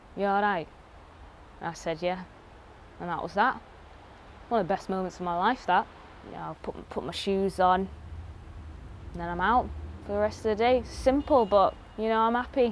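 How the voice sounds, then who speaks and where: With a Mancunian accent, a woman speaks at a medium pitch with ordinary pitch variation, leaving long, frequent pauses. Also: moderate pace. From Manchester. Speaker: actor. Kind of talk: comic monologue. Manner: casual, swearing.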